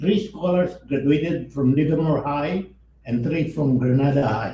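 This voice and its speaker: With audible room echo, a man speaks at a moderate pace and fairly high pitch with ordinary pitch variation. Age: 90s. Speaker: organization founder, keynote speaker. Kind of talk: keynote speech at awards ceremony. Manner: halting, self-correcting.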